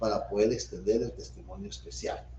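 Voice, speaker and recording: A man's voice carries audible room echo. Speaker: law professor. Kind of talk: lecture. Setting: video call.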